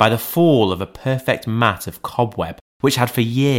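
The reading aloud is done in a natural voice, its intonation fairly even against a quiet background.

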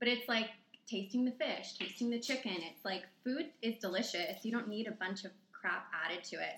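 Against noticeable background noise, a woman talks at a fairly quick pace and fairly high pitch, with ordinary pitch variation. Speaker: nutrition coach. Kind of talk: casual chat.

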